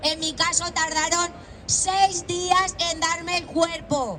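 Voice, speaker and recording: A woman speaks at an extremely high pitch with fairly even intonation. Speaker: protest speaker, flood victim's relative. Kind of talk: protest speech. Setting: outdoor rally with crowd. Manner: impassioned.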